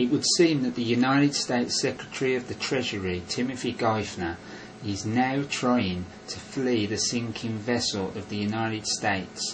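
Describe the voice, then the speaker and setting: A man with a Northern English accent, medium pitch, and ordinary pitch variation, at a moderate pace, over noticeable background noise. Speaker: conspiracy commentator. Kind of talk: voiceover narration.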